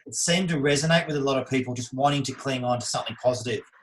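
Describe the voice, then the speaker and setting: Very fast and somewhat breathy, a man speaks at a medium pitch with fairly even intonation. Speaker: podcast host, sales trainer. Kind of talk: podcast interview.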